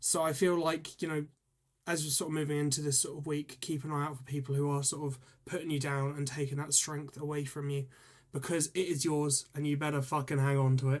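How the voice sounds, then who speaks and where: In a flat monotone, a man with a fairly high pitch talks at a fairly quick pace. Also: very clean recording, silent background. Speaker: tarot reader. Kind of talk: live stream tarot reading. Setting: live stream. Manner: fast; hesitant, many ums and ers.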